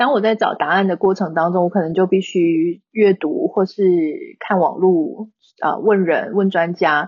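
A woman's normal speaking voice, medium in pitch, fairly slow, with fairly even intonation. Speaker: online content creator. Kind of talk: casual interview.

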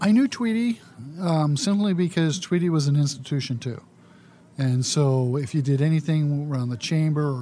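Talking at a moderate pace, a man with an American accent has a dark, mellow tone. His pitch sits fairly high, and the recording is very clean with a silent background. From US West, California (San Leandro area). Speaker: former city council member. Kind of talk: interview.

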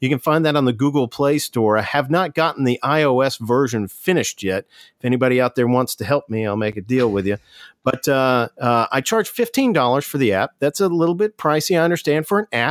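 A man speaks at a fairly quick pace with lively intonation and a medium pitch, in an ordinary speaking voice. The sound is dry and close, with no echo. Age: 40s. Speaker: physician and health insurance author. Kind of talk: interview.

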